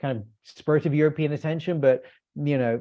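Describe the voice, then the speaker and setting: A man speaks with a British accent. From UK. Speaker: policy analyst. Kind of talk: webinar panel discussion. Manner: halting, many fillers.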